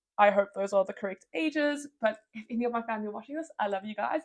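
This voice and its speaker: The speaker has a South African accent. Pitch variation is ordinary. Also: woman. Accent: British-sounding English, South African. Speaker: medical student vlogger. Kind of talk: casual Q&A vlog.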